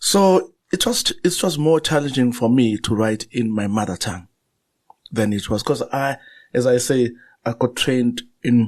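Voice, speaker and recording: A man with a Zulu accent talks at a moderate pace. His pitch is medium with ordinary variation. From South Africa, Zulu-speaking. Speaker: novelist and journalist. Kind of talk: interview conversation. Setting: studio. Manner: halting, frequent repetitions and fillers.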